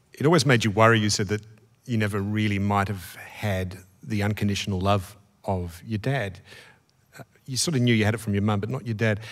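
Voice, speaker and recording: With an Australian accent, a man talks at a fairly quick pace with ordinary pitch variation. Long, frequent pauses break up his speech. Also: fairly low pitch for a man. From Australia, Melbourne. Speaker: interviewer. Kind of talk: onstage interview. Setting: stage with audience. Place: stage. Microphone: studio mic.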